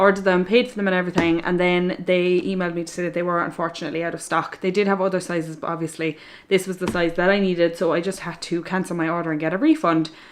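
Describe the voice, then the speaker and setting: Speaking very fast in an Irish accent, a woman with a fairly low pitch keeps her intonation fairly even. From Ireland. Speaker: equestrian vlogger. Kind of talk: casual talk to camera.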